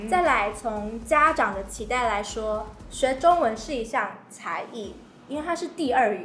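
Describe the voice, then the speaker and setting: Audible room echo surrounds a woman's voice. Her intonation is lively, and her pace is fairly slow. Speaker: podcast host. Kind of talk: casual chat.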